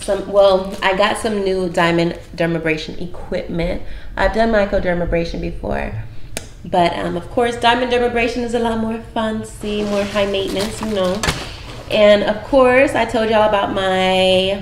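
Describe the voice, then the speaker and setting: A woman speaks with fairly even intonation amid light background noise and audible room echo. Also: moderate pace. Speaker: lifestyle vlogger. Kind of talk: casual vlog chat. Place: home room. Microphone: phone near.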